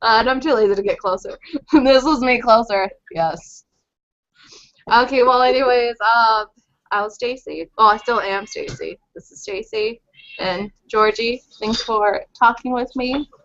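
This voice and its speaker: A woman with an unremarkable speaking voice talks fairly slowly in a fairly high pitch, with ordinary pitch variation. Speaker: podcast co-host. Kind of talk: casual chat.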